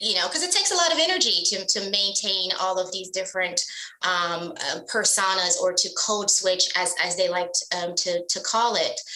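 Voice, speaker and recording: Noticeable background noise and audible room echo surround the recording. A woman speaks at a medium pitch. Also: ordinary pitch variation, moderate pace. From US, child of immigrants. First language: not English. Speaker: business executive. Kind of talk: interview. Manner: hesitant with fillers.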